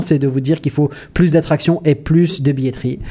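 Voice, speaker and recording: Fairly high in pitch, a man with an unremarkable speaking voice talks with ordinary pitch variation. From Mauritius. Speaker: comedian. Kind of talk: comedic radio chat. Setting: studio.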